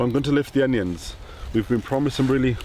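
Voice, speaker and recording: A man is talking while noticeable background noise runs underneath. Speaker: allotment gardener and video presenter. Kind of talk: casual gardening tutorial. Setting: outdoors on allotment. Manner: quiet.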